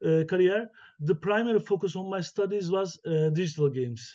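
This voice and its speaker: This man has a high pitch and a dark, mellow tone, speaking with a Turkish accent. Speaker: professor. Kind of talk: keynote lecture. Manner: halting, many fillers.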